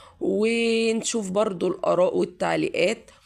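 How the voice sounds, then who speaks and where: A woman speaks with an Egyptian accent. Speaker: YouTuber giving advice. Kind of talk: casual advice monologue to viewers.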